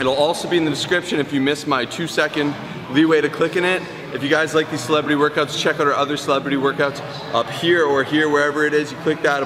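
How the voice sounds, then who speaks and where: Through noticeable background noise, a man talks at a very fast pace with flat, monotone intonation. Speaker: fitness vlogger. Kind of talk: casual vlog chat. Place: gym.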